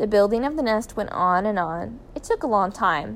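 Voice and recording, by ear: The intonation here is lively. It is reading aloud in a natural voice.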